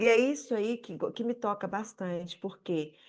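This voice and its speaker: A woman speaks with a Brazilian accent at a fairly slow pace. The background is quiet. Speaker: audience member at panel debate. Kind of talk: public debate contribution. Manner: halting, many repetitions.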